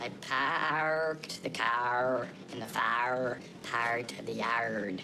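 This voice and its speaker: A put-on character voice at a low-to-middle pitch and a very slow pace, over loud background noise. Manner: exaggerated R sounds.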